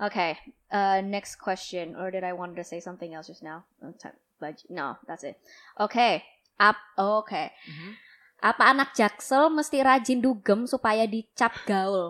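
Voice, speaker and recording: A woman speaks at a moderate pace with a medium pitch, lively intonation and a bright, sharp tone, her loudness swinging widely between long, frequent pauses. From South Jakarta, Indonesia. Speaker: podcast host. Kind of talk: casual chat. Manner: animated.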